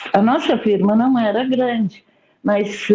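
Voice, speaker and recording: A woman's fairly high voice at a very slow pace. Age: 60s. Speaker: study group participant. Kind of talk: group discussion. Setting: video call.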